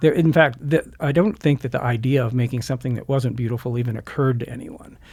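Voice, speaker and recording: A man speaks very fast at a medium pitch, with ordinary pitch variation and a somewhat breathy voice. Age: 60s. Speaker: blacksmith and craft school director. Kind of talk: interview. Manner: halting, repeats words.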